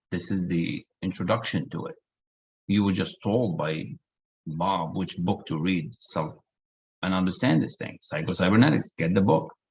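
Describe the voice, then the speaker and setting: A man's very deep, low voice with a non-native accent at a moderate pace. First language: not English. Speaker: personal development coach. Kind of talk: online group session. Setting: video call.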